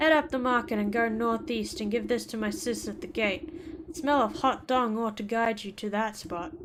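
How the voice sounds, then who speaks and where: Amid clear background noise, a gruff, put-on character voice with a fairly high pitch speaks at a moderate pace. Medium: game stream. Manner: gruff, curt.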